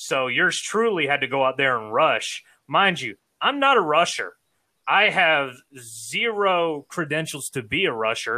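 A bright, sharp tone with lively intonation at a fairly slow pace, in a very clean recording with a silent background. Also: man, fairly high pitch for a man. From Savannah, Georgia, US South. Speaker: sports podcaster and former athlete. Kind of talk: casual interview chat. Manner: talkative, sportscaster-style delivery.

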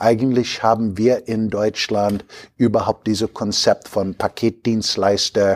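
Speaking very slowly at a medium pitch, a man comes across in a dry, close sound with no echo. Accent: American. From US Midwest, Chicago. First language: English (speaking German). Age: 60s. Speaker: logistics company executive. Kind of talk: interview. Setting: company headquarters near Düsseldorf.

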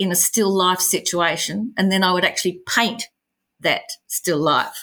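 A woman speaks with an Australian accent at a fairly slow pace. Her tone is bright and sharp, on a very clean recording with a silent background. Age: 60s. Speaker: artist and small business owner. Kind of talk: interview.

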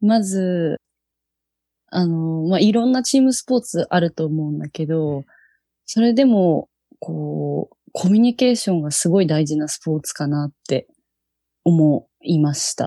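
A woman speaks with a fairly low pitch, a dark, mellow tone and lively intonation. The sound is dry and close, with no echo. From Japan, Yokohama (Kanagawa). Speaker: touch rugby national team captain. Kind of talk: casual chat.

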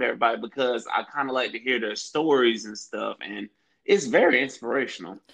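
This man has an ordinary speaking voice and an American accent. He talks at a fairly quick pace. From Florida. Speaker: podcast host. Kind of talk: casual interview.

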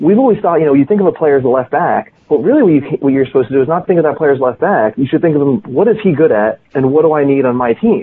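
A man with a General American accent talks at a very fast pace with hardly any pauses. His fairly high voice has lively intonation and very even loudness. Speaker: former pro soccer player and author. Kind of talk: casual interview chat. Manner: animated, conversational.

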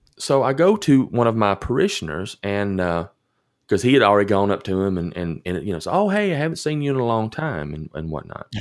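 With a Tennessee accent, a man speaks at a fairly quick pace in a fairly low pitch. His pitch swings very widely, and the recording is very clean with a silent background. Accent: Southern US (Tennessee). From US South, rural southern Middle Tennessee. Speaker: pastor. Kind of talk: storytelling in casual interview. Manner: hesitant, many fillers and repeats.

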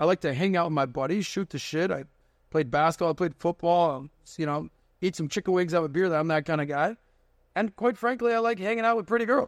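Speaking with an American accent, a man talks at a very fast pace and a high pitch with lively intonation, his voice dry and close with no echo against a quiet background. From Miami, Florida. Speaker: podcast host and finance entrepreneur. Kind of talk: casual interview chat. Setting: studio.

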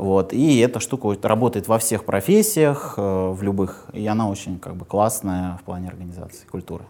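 Through noticeable background noise, a man with a fairly low pitch speaks at a moderate pace with ordinary pitch variation and hardly any pauses. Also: big swings in loudness. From Moscow region, Russia. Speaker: bank product executive. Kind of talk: interview. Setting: studio.

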